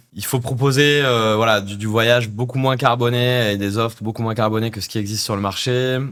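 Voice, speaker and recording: A man talks at a fairly quick pace with hardly any pauses, his medium pitch held in a monotone, flat intonation. Noticeable background noise runs beneath him. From France, Corrèze. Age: 30s. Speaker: startup CEO. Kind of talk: podcast interview.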